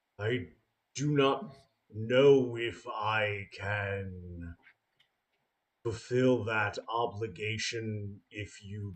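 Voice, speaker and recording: In a put-on character voice, a man speaks very slowly with a fairly low pitch. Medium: actual play. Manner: formal, courteous.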